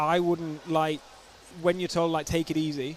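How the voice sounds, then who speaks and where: Over noticeable background noise, a man with a Yorkshire accent talks at a moderate pace in a fairly high pitch with monotone, flat intonation. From Yorkshire, northern England. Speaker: sports commentator. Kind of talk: live commentary.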